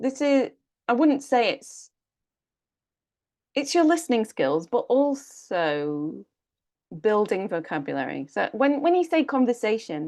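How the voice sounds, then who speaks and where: With a British accent, a woman speaks at a high pitch and a fairly slow pace, using very wide pitch swings and long, frequent pauses over a quiet background. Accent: regional British. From United Kingdom. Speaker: English speaking coach. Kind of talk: online workshop Q&A.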